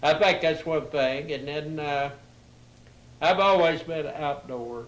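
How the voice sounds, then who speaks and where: Speaking very slowly with fairly even intonation, a man with a fairly high pitch is heard against audible room echo. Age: 80s+. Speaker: retired railroad worker. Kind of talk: casual chat. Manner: halting.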